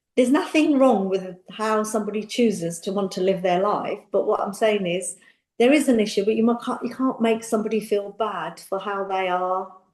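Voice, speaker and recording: A London accent at a moderate pace, with ordinary pitch variation and hardly any pauses. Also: woman, medium pitch for a woman. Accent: British English, London. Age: 60s. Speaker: makeup artist and beauty entrepreneur. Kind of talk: interview conversation. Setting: podcast. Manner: animated.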